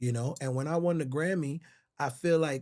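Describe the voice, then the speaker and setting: With an American accent, a somewhat breathy voice moves at a moderate pace on a very clean recording with a silent background. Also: man. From US Virgin Islands. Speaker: songwriter. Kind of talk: podcast interview. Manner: animated.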